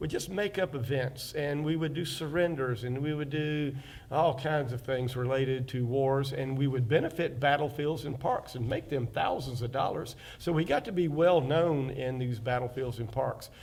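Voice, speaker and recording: A man's fairly high voice with an Alabama accent, at a moderate pace with ordinary pitch variation, over noticeable background noise. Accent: Southern US (Alabama). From US South, Fairhope, Alabama. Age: 60s. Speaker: oral history interviewee, local artist and reenactor. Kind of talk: oral history interview. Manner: halting, many fillers.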